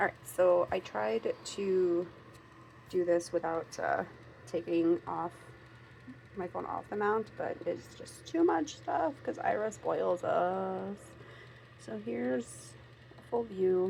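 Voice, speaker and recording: At a very slow pace, a woman with an American accent speaks with long, frequent pauses. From Minnesota, US. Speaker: craft and budgeting vlogger. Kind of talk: casual unboxing vlog. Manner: chatty, rambling with many fillers.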